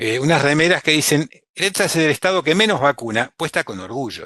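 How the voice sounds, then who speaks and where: Against a quiet background, a man with a fairly high pitch, vocal fry and a bright, sharp tone speaks at a very fast pace. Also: dry, close sound with no echo. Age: 60s. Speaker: physician, vaccine specialist. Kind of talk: webinar talk. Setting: online webinar.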